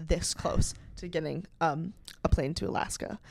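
A woman with a normal speaking voice talks with ordinary pitch variation. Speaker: podcast host. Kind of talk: casual chat.

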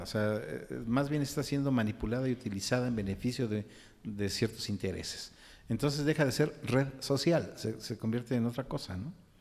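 A man with an ordinary speaking voice talks at a fairly quick pace, medium in pitch with ordinary pitch variation. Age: 60s. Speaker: podcast co-host, psychologist, songwriter. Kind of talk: casual discussion.

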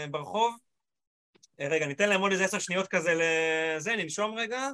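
This man talks at a moderate pace in a raised, projected voice that is high-pitched with a bright, sharp tone. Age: 40s. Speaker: motivational speaker. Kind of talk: panel discussion. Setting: video call. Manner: animated.

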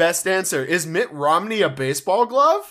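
A man's voice with a bright, sharp tone. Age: 20s. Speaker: podcast co-host. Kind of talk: casual chat.

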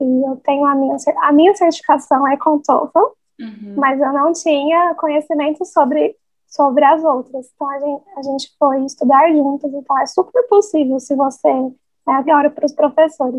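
A woman talks at a moderate pace with a high pitch. Her pitch varies in an ordinary way. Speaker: English teacher. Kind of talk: casual interview.

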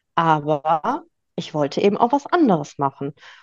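A woman's voice comes through dry and close with no echo over a quiet background. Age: 30s. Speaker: life coach and bakery owner. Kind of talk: interview, personal storytelling.

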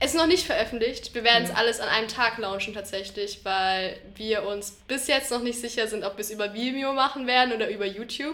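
A woman with a fairly high pitch talks at a fairly quick pace with hardly any pauses and ordinary pitch variation over noticeable background noise. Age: 20s. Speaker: university student. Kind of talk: casual chat.

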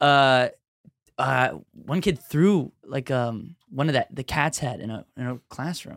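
Fairly slow, animated speech comes in an American accent with ordinary pitch variation. The sound is dry and close, with no echo. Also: man, medium pitch for a man. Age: 20s. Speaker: comedian. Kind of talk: casual chat. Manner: animated, profane.

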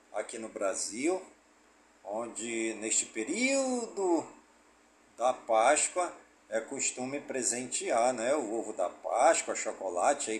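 Very wide pitch swings mark a man's speech at a very slow pace. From Amazonas, Brazil (Careiro da Várzea). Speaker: community radio news presenter. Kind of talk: news reading. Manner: conversational, frequent né tag.

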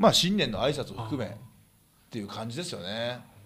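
In a room with audible echo, a man speaks at a fairly quick pace and medium pitch. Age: 30s. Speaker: professional wrestler and podcast host. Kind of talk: casual chat.

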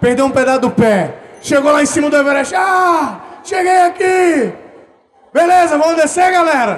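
At a moderate pace, a man speaks in an extremely high pitch with ordinary pitch variation and very even loudness, over noticeable background noise. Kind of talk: live podcast recording, casual banter. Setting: stage with audience. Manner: jokey.

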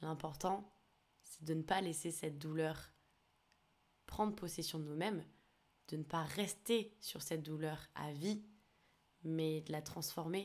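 A woman's very deep, low voice at a very slow pace, with fairly even intonation and long, frequent pauses. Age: 20s. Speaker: podcast host. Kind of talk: personal testimony monologue. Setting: alone recording at a computer. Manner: hesitant.

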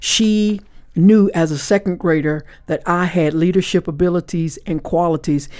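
A woman with a plain, everyday voice speaks at a fairly low pitch and a moderate pace, with fairly even intonation. The recording is very clean, with a silent background. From US South, Florida Panhandle (Panama City). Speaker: author. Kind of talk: interview. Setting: podcast studio at a live event.

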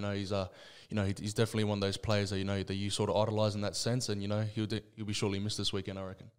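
This man has an Australian accent and a fairly low pitch. He talks at a very fast pace with monotone, flat intonation. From Western Sydney, Australia. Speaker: rugby league player. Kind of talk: casual interview. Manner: halting, many fillers.

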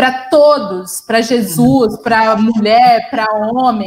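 A woman speaks at a fairly slow pace with a fairly high pitch and ordinary pitch variation, with noticeable background noise behind her. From interior of São Paulo state, Brazil. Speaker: journalist and communication doctoral researcher. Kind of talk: conversational panel discussion. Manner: halting, many fillers and repetitions.

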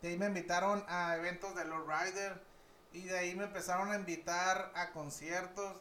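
Amid noticeable background noise and audible room echo, a man with a high pitch speaks at a moderate pace in a flat, monotone intonation. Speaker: barber and urban events reporter. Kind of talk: casual chat.

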